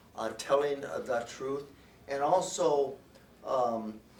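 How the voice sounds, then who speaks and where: With audible room echo, a man with an American accent speaks at a very slow pace in a fairly high voice. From New Jersey. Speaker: lawyer. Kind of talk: press conference.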